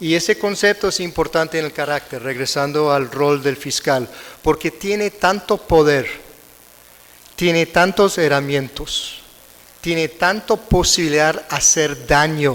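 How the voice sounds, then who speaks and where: A man with an American accent talks at a fairly slow pace, his pitch fairly high with ordinary variation. Noticeable background noise runs behind him. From United States. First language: English (speaking Spanish). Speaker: conference speaker, prosecutor. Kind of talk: lecture. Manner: halting, self-correcting.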